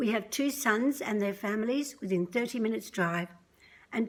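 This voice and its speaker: A woman speaks with an Australian accent. Her pitch sits in the middle range. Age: 60s. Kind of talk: prepared testimony read aloud. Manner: measured, scripted delivery.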